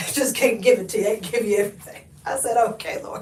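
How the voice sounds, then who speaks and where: Over noticeable background noise, a woman with an American accent talks fairly quickly in a fairly high pitch with ordinary pitch variation. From Oklahoma. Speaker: lifestyle vlogger. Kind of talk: live stream chat. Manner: animated.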